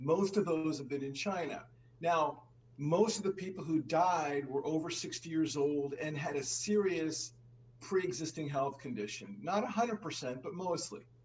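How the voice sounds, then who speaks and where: Against noticeable background noise, a man speaks at a moderate pace. His voice is fairly high, with lively intonation. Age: 60s. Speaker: finance show co-host. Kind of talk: conversational discussion.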